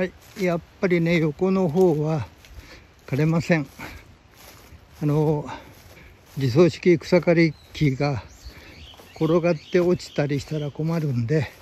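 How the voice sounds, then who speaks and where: Speaking at a fairly slow pace with long, frequent pauses, a man shows ordinary pitch variation in a dry, echo-free recording with light background noise. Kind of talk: casual vlog chat. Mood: surprised, mildly annoyed. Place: open country. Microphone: phone near.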